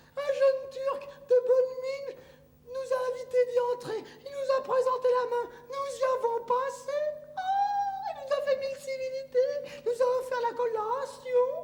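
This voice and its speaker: In a put-on character voice with an extremely high pitch, the speaker talks at a moderate pace with monotone, flat intonation and a clear echo. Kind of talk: classical French stage comedy. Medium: stage play. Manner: animated, theatrical.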